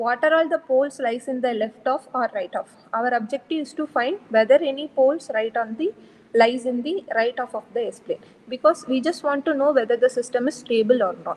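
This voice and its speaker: Soft-spoken and high in pitch, a woman talks at a moderate pace. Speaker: lecturer. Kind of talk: lecture. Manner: halting.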